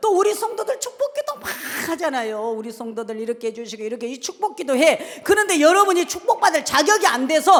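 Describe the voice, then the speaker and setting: The tone is animated and the pace fairly quick. Noticeable background noise fills the recording. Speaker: pastor. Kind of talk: sermon. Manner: fast.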